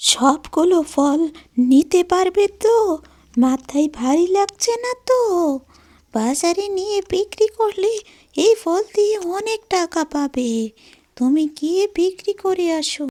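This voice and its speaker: A woman performs a cartoonish character voice at an extremely high pitch, speaking at a very slow pace with lively intonation in a dry, close sound with no echo. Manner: fretful, scolding.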